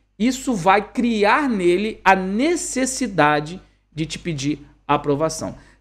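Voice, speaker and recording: Animated in tone, a man's voice moves through very wide pitch swings. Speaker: English teacher and coach. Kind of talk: online class.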